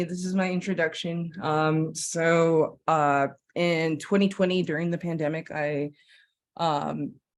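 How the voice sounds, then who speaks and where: On a very clean recording with a silent background, a woman with an American accent speaks in a fairly low pitch with fairly even intonation. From Flagstaff, Arizona (Navajo/Diné). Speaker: filmmaker. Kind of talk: presentation. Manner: halting, many fillers.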